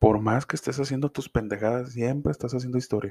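With a Mexican accent, the voice has a dark, mellow tone and fairly even intonation, in a dry, close sound with no echo. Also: man. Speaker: podcaster. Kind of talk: casual monologue. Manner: informal, slangy.

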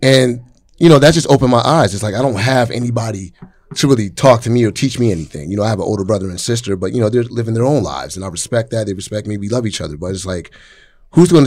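Very fast speech from a man with a fairly low pitch and lively intonation. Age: 30s. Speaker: hip-hop artist. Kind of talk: casual chat.

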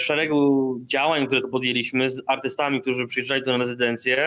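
A man's voice at a medium pitch. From northern Poland, Darłowo. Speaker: artist and community space founder. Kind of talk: interview. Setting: remote call from Indonesia.

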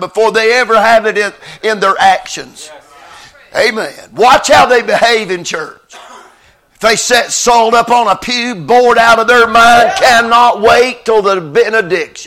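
Raised and projected, a man's voice sits at an extremely high pitch, moving at a moderate pace with ordinary pitch variation. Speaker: visiting revival preacher. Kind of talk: sermon. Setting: church.

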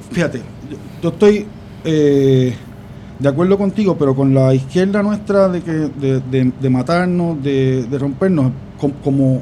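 At a moderate pace, a man with a Puerto Rican accent speaks at a fairly high pitch with ordinary pitch variation, noticeable background noise behind him. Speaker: political commentator. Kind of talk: political discussion.

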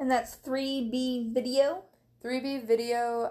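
The recording is very clean, with a silent background. A woman talks with an American accent. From US Midwest (southern Missouri). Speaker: podcast co-host. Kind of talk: casual chat.

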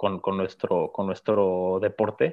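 The man's voice sits at a fairly low pitch. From Mexico. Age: young. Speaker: racing driver. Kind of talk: interview. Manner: halting, many fillers and repetitions.

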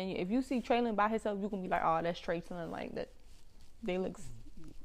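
With an American accent, a woman speaks at a fairly high pitch in an unremarkable speaking voice. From Washington DC area (DMV, Prince George's County). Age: 20s. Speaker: podcast co-host. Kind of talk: casual chat.

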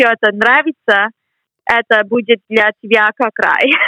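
A woman with an English accent talks at a very slow pace. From US, Boston. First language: English (speaking Russian). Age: 20s. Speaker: graduate student. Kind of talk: interview. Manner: halting.

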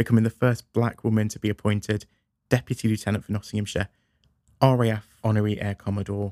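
A man speaks very fast in a fairly low, dark and mellow voice, his intonation flat and monotone, with a dry, close sound and no echo. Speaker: podcast host. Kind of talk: interview.

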